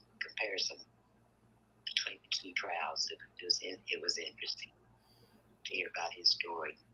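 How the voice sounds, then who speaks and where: Big swings in loudness from a woman talking at a moderate pace over noticeable background noise. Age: 60s. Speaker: caller. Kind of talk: call-in comment. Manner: halting.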